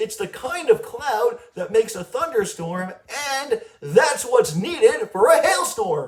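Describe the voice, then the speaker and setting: In a cartoonish character voice, a man speaks at an extremely high pitch with very wide pitch swings and a fairly slow pace. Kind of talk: educational facts for children. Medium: puppet.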